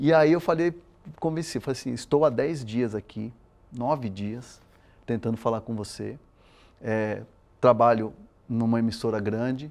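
A man speaks with long, frequent pauses. His pitch varies in an ordinary way. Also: fairly slow pace. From Brazil, São Paulo, raised by Chilean parents. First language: Spanish (speaking Portuguese). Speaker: sports reporter. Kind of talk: interview. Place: studio. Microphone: lapel.

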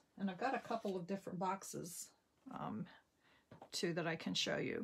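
A woman talks at a fairly quick pace with vocal fry. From New Jersey. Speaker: papercraft demonstrator; craft demonstrator. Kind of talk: crafting tutorial. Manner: casual with frequent fillers.

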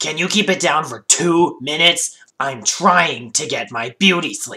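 Putting on a character voice, a man speaks at a moderate pace with a high pitch. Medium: dub. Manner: sarcastic.

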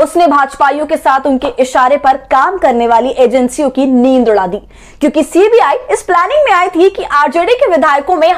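A woman with a high voice speaks at a fairly slow pace with lively intonation. The background is quiet. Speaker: news presenter. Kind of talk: political news commentary. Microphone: lapel.

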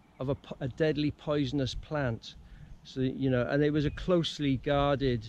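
This man's intonation is flat and monotone. The sound is dry, with no echo. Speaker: bushcraft instructor. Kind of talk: casual vlog chat. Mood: relaxed, anecdotal, laughs. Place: open country. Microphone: phone near.

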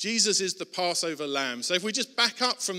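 A man speaks in a raised, projected voice. His pace is moderate. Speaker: pastor. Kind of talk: sermon. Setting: church.

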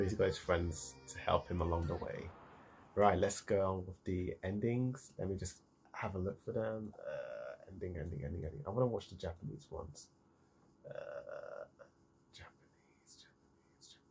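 With music in the background, a man speaks at a moderate pace, his loudness swinging widely. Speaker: anime reaction reviewer. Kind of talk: casual reaction commentary. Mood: cheerful, amused. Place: home room. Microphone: earbuds.

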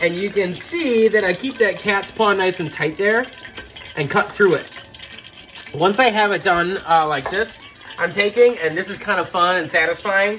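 Over light background noise, a man speaks in a raised, projected voice at a moderate pace with ordinary pitch variation. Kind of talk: tutorial. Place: kitchen.

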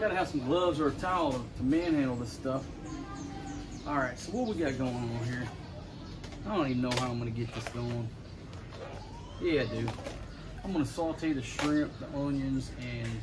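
Long, frequent pauses break up a man's speech while clear music plays in the background. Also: ordinary pitch variation, moderate pace. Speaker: home cook host. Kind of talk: casual cooking show chat. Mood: jokey, relaxed. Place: garden. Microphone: camera far.

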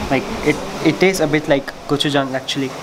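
Loud background noise beneath a man's moderately paced speech. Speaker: food vlogger. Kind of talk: casual vlog chat. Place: cafe. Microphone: phone near.

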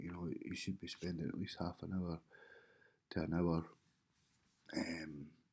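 A man is whispering. He goes at a fairly slow pace. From United Kingdom. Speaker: web designer. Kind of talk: casual vlog talk to camera. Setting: home, early morning. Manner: whispered. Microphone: webcam.

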